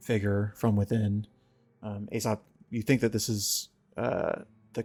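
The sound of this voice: The reading is delivered in an unforced voice.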